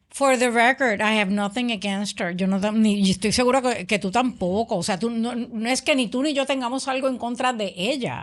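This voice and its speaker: Against a quiet background, a woman with an ordinary speaking voice talks with hardly any pauses and ordinary pitch variation. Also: fairly high pitch for a woman, moderate pace. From Puerto Rico. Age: 60s. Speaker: political podcast co-host. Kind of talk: political discussion podcast.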